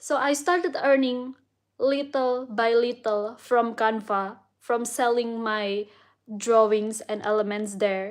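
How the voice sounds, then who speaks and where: At a very slow pace, the speaker talks with an Indonesian accent and ordinary pitch variation against a quiet background. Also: woman, fairly high pitch for a woman. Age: 30s. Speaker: vlogger and illustrator. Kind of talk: casual vlog monologue. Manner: hesitant, many fillers.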